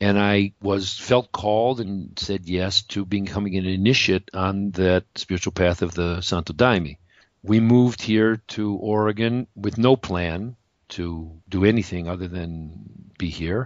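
In an American accent, a man talks at a fairly slow pace in a normal speaking voice, with fairly low pitch and fairly even intonation. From US Midwest, Detroit area, Michigan. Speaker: energy healer, former acupuncturist. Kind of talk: interview.

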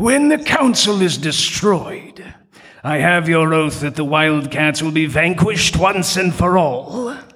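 Using a cartoonish character voice, a man speaks fairly slowly at a high pitch. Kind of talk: cartoon villain acting. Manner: indignant, then scheming.

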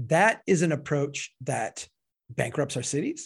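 An animated, somewhat breathy voice comes through with an American accent. The recording is very clean with a silent background. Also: man. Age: 40s. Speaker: civil engineer and author. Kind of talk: interview. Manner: animated, frequent self-repetitions.

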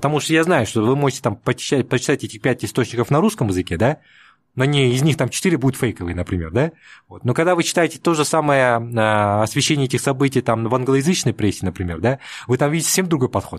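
On a very clean recording with a silent background, a man talks at a very fast pace with lively intonation. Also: medium pitch for a man. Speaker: political scientist. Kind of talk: interview. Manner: hesitant, many filler sounds.

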